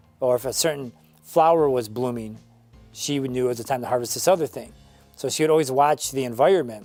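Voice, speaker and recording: Over music in the background, the speaker talks fairly quickly with an American accent and ordinary pitch variation. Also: man. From Northern Michigan, USA. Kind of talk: interview answer.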